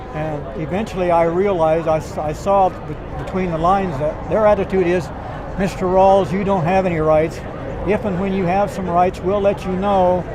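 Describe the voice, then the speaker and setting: High-pitched man at a moderate pace, monotone and flat, with noticeable background noise and audible room echo. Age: 70s. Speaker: rally attendee interviewed. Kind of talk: street interview.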